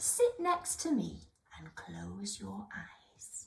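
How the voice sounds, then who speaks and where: It's a put-on character voice. The words come very slowly. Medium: read story. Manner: slow, wise.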